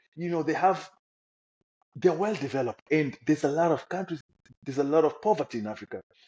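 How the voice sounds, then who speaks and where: Speaking at a fairly quick pace with a Congolese accent, a man with a fairly high pitch uses lively intonation and takes long, frequent pauses. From Democratic Republic of the Congo. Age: young. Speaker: refugee. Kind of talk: testimony.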